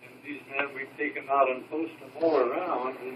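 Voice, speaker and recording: Fairly slow speech from a man with a fairly high pitch, against noticeable background noise. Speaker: WWII veteran. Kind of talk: storytelling to family.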